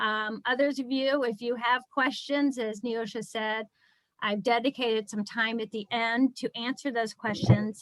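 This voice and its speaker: A woman has a plain, everyday voice with a fairly high pitch and fairly even intonation. She speaks at a fairly slow pace in a dry, close sound with no echo. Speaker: attorney and fundraiser presenting a nonprofit training. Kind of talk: webinar presentation. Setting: video call.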